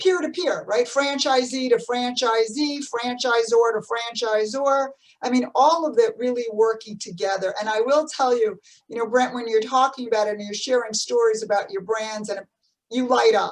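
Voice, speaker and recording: With a New Jersey accent, a woman talks at a moderate pace, her fairly high pitch showing ordinary variation. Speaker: podcast host, business CEO. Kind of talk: interview. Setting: video call.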